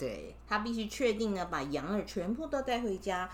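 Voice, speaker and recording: Animated in tone, a woman speaks at a fairly slow pace in a medium pitch with vocal fry. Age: 30s. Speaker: mother reading stories with her child. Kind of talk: storytelling to a child.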